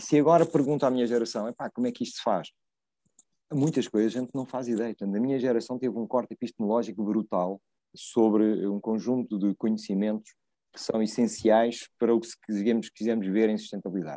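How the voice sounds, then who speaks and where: Medium in pitch, a man talks at a fairly quick pace with ordinary pitch variation. His tone is dark and mellow, and the sound is dry and close with no echo. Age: 50s. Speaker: landscape architect. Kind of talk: casual chat.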